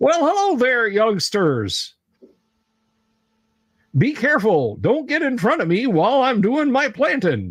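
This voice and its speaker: Long, frequent pauses break up a put-on character voice that moves at a fairly slow pace. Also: man, extremely high pitch for a man. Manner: kindly.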